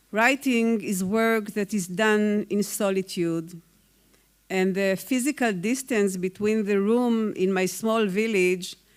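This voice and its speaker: Speaking with an Israeli accent, a woman talks. Her pace is very slow. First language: Hebrew. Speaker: poet. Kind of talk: award acceptance speech. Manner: formal.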